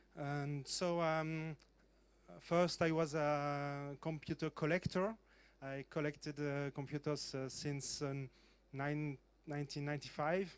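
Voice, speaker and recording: A speaker in a French accent keeps a monotone, flat intonation at a fairly slow pace. The recording is very clean, with a silent background. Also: man, fairly high pitch for a man. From French-speaking Switzerland, Lausanne. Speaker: museum curator and computer collector. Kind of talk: panel talk. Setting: conference stage. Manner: halting, many fillers.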